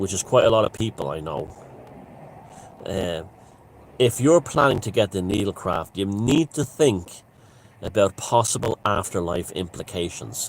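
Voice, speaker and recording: Speaking in an Irish accent, a man with a fairly low pitch uses lively intonation at a moderate pace, broken by long, frequent pauses. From Ireland. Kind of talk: casual talk to camera. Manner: rambling, conversational.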